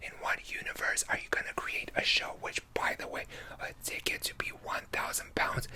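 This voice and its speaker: A man's whispering at a moderate pace, over noticeable background noise. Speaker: YouTuber / ASMR creator. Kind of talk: ranting storytime to camera. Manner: angry, sweary, exasperated.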